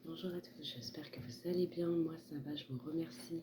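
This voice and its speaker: Soft-spoken and somewhat breathy, a woman talks at a fairly slow pace in a very deep, low pitch with ordinary pitch variation. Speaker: tarot card reader. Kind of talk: tarot reading. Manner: hesitant.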